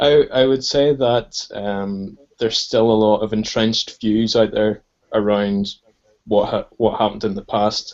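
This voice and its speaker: This man has a Northern Irish accent and a fairly low pitch. He talks at a fairly slow pace with fairly even intonation. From Northern Ireland. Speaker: podcast guest. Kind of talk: casual political discussion.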